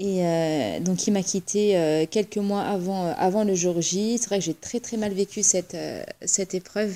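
At a fairly slow pace, a woman speaks at medium pitch with a dark, mellow tone and lively intonation. The recording is very clean, with a silent background. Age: 30s. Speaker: social security employee sharing her marriage story. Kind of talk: interview, personal testimony.

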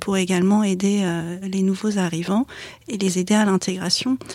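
A woman with an ordinary speaking voice talks at a fairly slow pace, her intonation fairly even. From Paris suburbs, France. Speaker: corporate lawyer. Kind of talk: interview.

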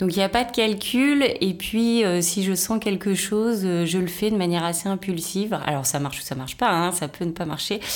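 A woman with an ordinary speaking voice talks at a moderate pace and a medium pitch. Her pitch variation is ordinary, and there are hardly any pauses. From Brittany, France (Rennes). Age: 40s. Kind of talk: casual interview chat.

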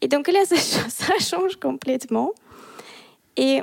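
A woman with a Russian accent, in a dry, close sound with no echo. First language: Russian (speaking French). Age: 30s. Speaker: embroidery artist. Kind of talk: casual interview. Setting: her art studio.

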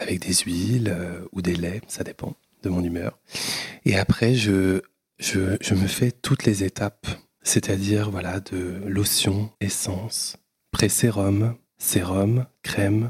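In a dry, close recording with no echo, a man speaks very slowly with a somewhat breathy, fairly low voice and fairly even intonation. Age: 30s. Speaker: entrepreneur. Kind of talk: casual chat.

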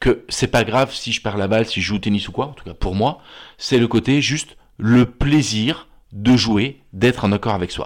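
A man speaks at a moderate pace and medium pitch, in an unremarkable speaking voice with ordinary pitch variation. His loudness swings widely, and the recording is very clean with a silent background. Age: 50s. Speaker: therapist. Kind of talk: casual chat.

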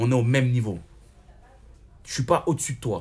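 Words rush out at a very fast pace from a man. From Paris suburbs, France. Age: 30s. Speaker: rapper and online show host. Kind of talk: casual interview. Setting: restaurant. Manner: talkative.

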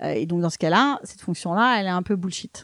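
This woman has a fairly low pitch with ordinary pitch variation. She speaks at a moderate pace. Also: dry, close sound with no echo. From Paris, France. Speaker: tech startup CEO. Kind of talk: interview. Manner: hesitant, repeats words.

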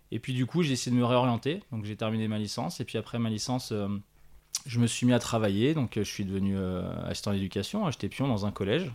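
Very fast speech from a man, ordinary pitch variation throughout. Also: medium pitch for a man. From France, Haute-Savoie (Annecy area). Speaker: sports educator and training organisation co-founder. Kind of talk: interview. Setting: on location at the organisation's premises.

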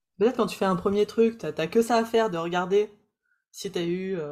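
A woman speaks at a fairly quick pace with ordinary pitch variation. She has an ordinary speaking voice. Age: 30s. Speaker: podcast host and coach for practitioners. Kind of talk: interview.

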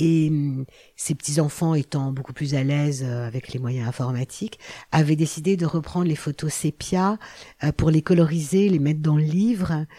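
A woman speaks at a very deep, low pitch with a dark, mellow tone. Her pace is moderate, her pitch variation ordinary, and the recording very clean with a silent background. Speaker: biographer and anthropologist. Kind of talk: interview. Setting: research laboratory. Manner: hesitant, with many fillers.

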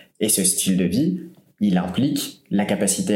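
The man's voice sits fairly low, dark and mellow in tone, with ordinary pitch variation and audible room echo. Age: 30s. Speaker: entrepreneur, website publisher. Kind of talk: interview.

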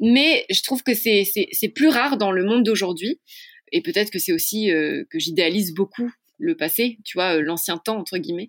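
Her pitch is fairly high and swings very widely at a moderate pace. The woman's recording is very clean, dry and close, with no echo and a silent background. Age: 20s. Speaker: couple therapist. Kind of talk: casual chat.

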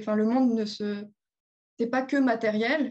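Somewhat breathy, this voice keeps its intonation fairly even. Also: woman. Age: 20s. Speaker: energy massage therapist. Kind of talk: interview.

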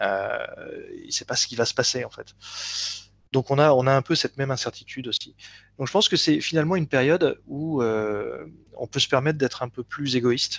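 A man talks at a fairly quick pace in a fairly high pitch with ordinary pitch variation, leaving long, frequent pauses. His loudness swings widely, and the sound is dry and close with no echo. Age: 50s. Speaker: hypnotherapist. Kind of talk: interview. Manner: halting.

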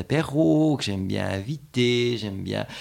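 Intonation is lively as this man speaks in a medium pitch. His pace is fairly slow. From Switzerland, canton of Fribourg. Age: 40s. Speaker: independent gallery owner. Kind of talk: interview. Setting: at his home. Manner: hesitant, frequent fillers and repetitions.

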